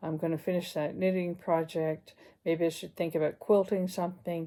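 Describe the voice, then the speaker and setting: Fairly low in pitch, a woman speaks with a dark, mellow tone and fairly even intonation. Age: 60s. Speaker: retired counsellor vlogger. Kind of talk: casual vlog monologue.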